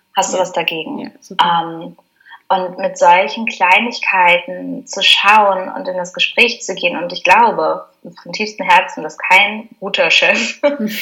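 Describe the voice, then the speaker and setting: This is a normal speaking voice at a fairly slow pace. Its loudness swings widely. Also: woman, medium pitch for a woman, ordinary pitch variation. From Germany. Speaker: spiritual mentor. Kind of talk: interview conversation.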